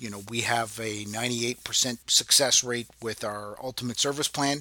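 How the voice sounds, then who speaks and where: A man talks at a moderate pace in a normal speaking voice with a medium pitch. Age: 50s. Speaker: podcast host and real estate agent. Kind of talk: casual monologue. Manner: relaxed with filler words.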